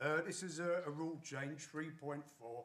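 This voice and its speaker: At a moderate pace and fairly high pitch, a man speaks with fairly even intonation amid audible room echo. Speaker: union delegate. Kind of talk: conference motion speech. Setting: conference hall. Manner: loud.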